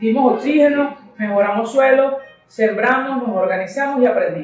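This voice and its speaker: A woman's high-pitched voice at a moderate pace, with ordinary pitch variation, audible room echo, and music in the background. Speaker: coffee shop founder and coffee grower. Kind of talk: interview conversation.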